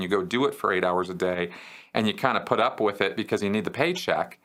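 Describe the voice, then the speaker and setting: A man speaks loudly at a moderate pace in a bright, sharp tone on a very clean recording with a silent background. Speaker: former Scientology member answering viewer questions. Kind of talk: Q&A answer. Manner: loud and boisterous; halting, many fillers and repetitions.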